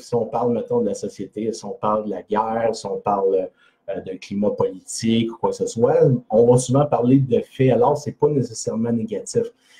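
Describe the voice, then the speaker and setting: A man with a Quebec accent at a moderate pace. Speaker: personal development blogger. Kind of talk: live video talk. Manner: hesitant, many fillers.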